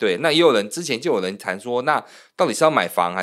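The recording is very clean, and the background is silent. A man speaks very fast, his intonation lively. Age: 40s. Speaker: loan manager and podcast co-host. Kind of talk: casual chat.

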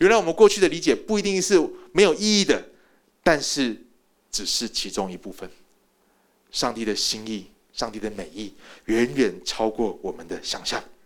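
At a moderate pace, a man talks with very wide pitch swings, big swings in loudness, vocal fry, and long, frequent pauses. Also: fairly high pitch for a man. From Taiwan. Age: 40s. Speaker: pastor. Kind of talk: sermon.

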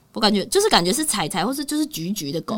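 Very fast speech in a Taiwanese accent. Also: woman. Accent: Taiwanese Mandarin. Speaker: podcast host and pet communicator. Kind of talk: casual chat. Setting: studio. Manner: animated.

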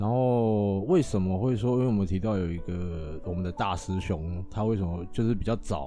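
With a dark, mellow tone and ordinary pitch variation, the voice moves at a moderate pace with hardly any pauses and audible room echo. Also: man, fairly low pitch for a man. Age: young. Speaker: temple volunteer scribe. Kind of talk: casual interview chat.

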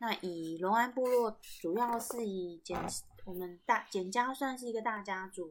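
Her pitch sits in the medium range and varies in an ordinary way. This woman speaks at a fairly slow pace. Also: very clean recording, silent background. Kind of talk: casual storytelling monologue.

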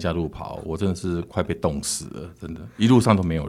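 Lively intonation colors this man's fairly quick speech. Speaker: podcast host. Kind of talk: casual interview chat.

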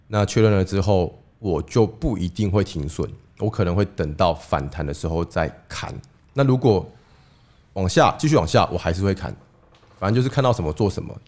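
A man talks with a very deep, low voice. His intonation is lively and his pace moderate. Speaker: investing podcast co-host. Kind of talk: casual chat. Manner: lowered voice.

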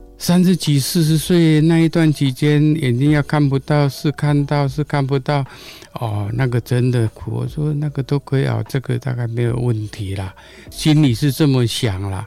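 Against noticeable background noise, a man with a fairly high pitch speaks at a moderate pace with ordinary pitch variation. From Taiwan, Gongliao, New Taipei. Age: 60s. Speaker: blind runner. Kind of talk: interview.

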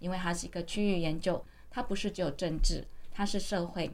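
With audible room echo in the space, a woman's voice shows ordinary pitch variation. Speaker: university vice president and author. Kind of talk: interview.

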